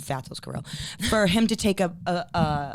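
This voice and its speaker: A woman with a Boston accent speaks with ordinary pitch variation. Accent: thick Boston. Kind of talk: casual podcast conversation.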